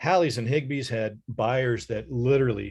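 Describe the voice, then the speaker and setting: A man with an American accent speaks at a fairly slow pace, his voice somewhat breathy. The background is quiet. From Ohio, Dayton. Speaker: author. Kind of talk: presentation Q&A.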